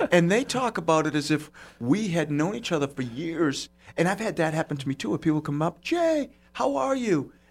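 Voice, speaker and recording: In a Boston accent, a man with a fairly high pitch speaks at a fairly quick pace with lively intonation. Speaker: podcast host. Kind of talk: casual chat. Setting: studio. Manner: jokey, animated.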